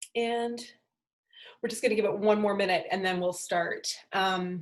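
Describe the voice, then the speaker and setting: A woman talks at a medium pitch in a plain, everyday voice. Her intonation is fairly even, and the background is quiet. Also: moderate pace. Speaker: spiritual coach teaching a class. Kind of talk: online class introduction. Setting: video call.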